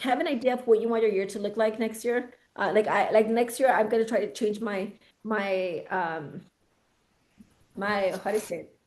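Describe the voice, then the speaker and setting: A woman speaks loud at a fairly high pitch, with ordinary pitch variation. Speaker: real estate team leader. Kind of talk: team coaching meeting. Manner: excited.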